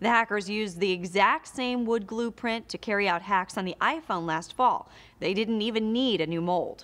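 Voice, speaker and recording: Speaking with a fairly high pitch, a woman keeps to a moderate pace. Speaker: news presenter. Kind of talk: news reading. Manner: formal; brisk, even-paced. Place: studio.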